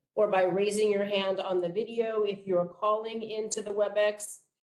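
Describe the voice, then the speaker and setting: A woman's fairly high voice at a moderate pace. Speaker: meeting facilitator. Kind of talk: public meeting. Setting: hybrid meeting, in person and video call. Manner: loud.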